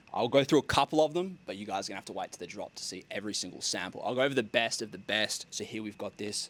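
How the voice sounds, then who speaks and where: This man speaks with an Australian accent. His tone is animated, with ordinary pitch variation. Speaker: content creator, clothing brand founder. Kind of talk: casual vlog. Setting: outdoors.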